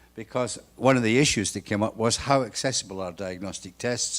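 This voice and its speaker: A man at medium pitch with ordinary pitch variation, in a very clean recording with a silent background. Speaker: conference session facilitator. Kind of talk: conference summary presentation. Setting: working dinner meeting. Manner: fast.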